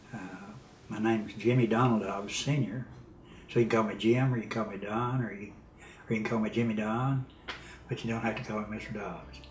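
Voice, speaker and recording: With audible room echo, a man with an American accent talks at a fairly quick pace, using fairly even intonation and long, frequent pauses. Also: medium pitch for a man. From Texas, small rural town. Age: 70s. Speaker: pastor and Vietnam veteran. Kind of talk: interview testimony. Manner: hesitant, many fillers.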